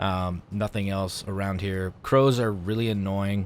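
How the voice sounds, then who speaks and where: A man's fairly low pitch with fairly even intonation. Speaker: gaming YouTuber. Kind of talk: gameplay walkthrough commentary. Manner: louder than usual.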